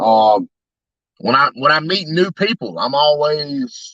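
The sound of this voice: In a dry, close sound with no echo, a man talks slowly at a fairly high pitch, his tone fairly bright and his pitch swinging widely.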